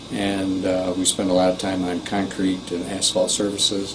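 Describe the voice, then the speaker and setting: Amid noticeable background noise and audible room echo, a man with a very deep, low pitch speaks at a moderate pace. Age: 60s. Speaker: patient giving testimonial, tennis coach. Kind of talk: testimony. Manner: halting.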